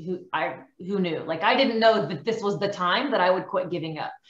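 A woman talks at a moderate pace with ordinary pitch variation, and the room echo is audible. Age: 30s. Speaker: carnivore diet success story guest; guest. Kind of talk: interview. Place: home room. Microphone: webcam.

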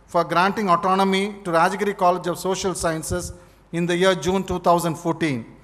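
A man with a high pitch speaks fairly quickly with fairly even intonation. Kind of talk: formal speech. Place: hall. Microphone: podium.

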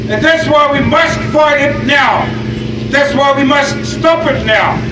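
A man's voice over loud background noise. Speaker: speaker. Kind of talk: rally speech. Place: street.

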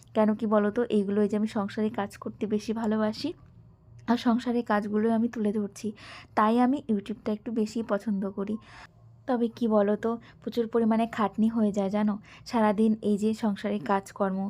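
Recorded very cleanly against a silent background, a woman speaks with a fairly high pitch, a dark, mellow tone, and monotone, flat intonation. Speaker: homemaker vlogger. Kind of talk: vlog voice-over. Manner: conversational.

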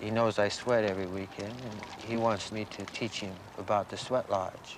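With an American accent, a man speaks at a fairly low pitch and a fairly slow pace, the sound dry with no echo and light background noise behind him. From US Pacific Northwest. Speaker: prison inmate. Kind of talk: interview testimony. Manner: halting, frequent fillers. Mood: earnest, calm. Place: open country.

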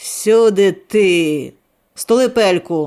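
A man talks in a high-pitched voice, and his pitch varies in an ordinary way. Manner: stern, manly, firm.

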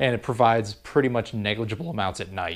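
With ordinary pitch variation, the words come at a fairly quick pace. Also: man. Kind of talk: casual vlog chat. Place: garage. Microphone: phone near.

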